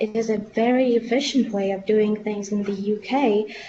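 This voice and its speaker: A woman's fairly high voice with fairly even intonation, over noticeable background noise. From Lithuania. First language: Lithuanian. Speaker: medical student representative. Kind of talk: webinar question. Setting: webinar. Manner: halting.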